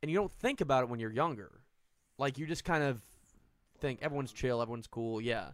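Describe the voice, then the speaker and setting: Here a man with an unremarkable speaking voice and an American accent talks at a fairly quick pace, medium in pitch with lively intonation, in a very clean recording over a silent background. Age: 30s. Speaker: comedian. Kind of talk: casual chat.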